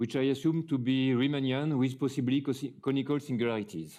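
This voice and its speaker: Against a quiet background, a man with a French accent speaks in a dark, mellow tone. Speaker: mathematician. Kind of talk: lecture. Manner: halting, with many fillers.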